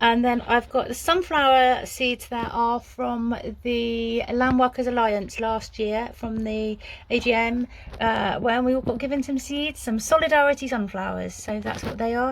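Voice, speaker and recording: Using an English Midlands accent, a woman with a high pitch speaks at a fairly slow pace with fairly even intonation. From England, Coventry. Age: 60s. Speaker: small farmer. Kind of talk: casual vlog narration. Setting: outdoors on a farm and in a greenhouse. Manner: hesitant, with filler words.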